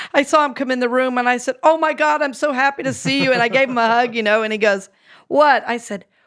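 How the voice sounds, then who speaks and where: A woman with an American accent and a high pitch is heard on a very clean recording with a silent background. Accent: Southern drawl, largely unlearned. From US South, North Carolina and Georgia. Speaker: minister and speaker. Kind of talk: casual chat. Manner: halting.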